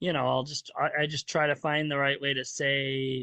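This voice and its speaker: A man's fairly high voice with monotone, flat intonation at a moderate pace. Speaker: neurodivergent parent panelist. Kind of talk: casual chat. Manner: loud at times.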